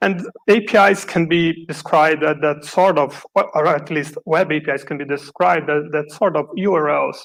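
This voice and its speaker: A man with a Brazilian accent speaks at a fairly slow pace, with a fairly high pitch and fairly even intonation. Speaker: software developer, conference speaker. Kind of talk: conference talk.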